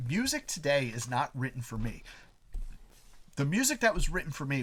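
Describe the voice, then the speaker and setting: This man's voice sits fairly high and moves at a fairly quick pace. His tone is animated, with lively intonation. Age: 40s. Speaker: musician. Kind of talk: casual chat.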